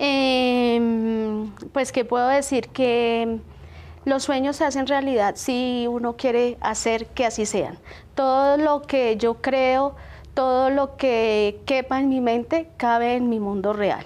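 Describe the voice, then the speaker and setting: A woman speaks in a high voice at a very slow pace. Her loudness stays very even. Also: fairly even intonation. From Bogotá, Colombia. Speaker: small business owner; guest. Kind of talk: TV interview. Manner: halting, many fillers. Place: studio. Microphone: lapel.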